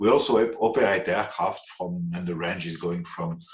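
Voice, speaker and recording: Music plays behind a man who speaks at a moderate pace in a French accent. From France. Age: 60s. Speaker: aviation executive. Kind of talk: interview. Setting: podcast interview. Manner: hesitant with fillers.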